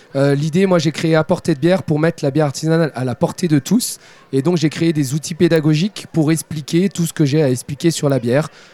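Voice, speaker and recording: Here a man talks at a fairly quick pace in a fairly high pitch with a dark, mellow tone. His intonation is fairly even, and the sound is dry and close with no echo. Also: very even loudness. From France, Saint-Étienne. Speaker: beer expert and brewer. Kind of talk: live radio interview. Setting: trade fair stand.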